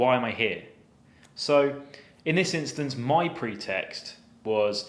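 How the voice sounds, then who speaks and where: A man speaks with a Southern English accent and lively intonation. Audible room echo surrounds his voice. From southern England. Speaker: cyber security penetration tester. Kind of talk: story time tutorial.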